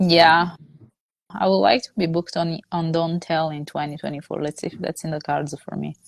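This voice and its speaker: Speaking in an Italian accent at a moderate pace, a woman uses a very deep, low pitch with ordinary pitch variation, and the sound is dry and close with no echo. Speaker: stand-up comedian. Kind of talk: interview answer.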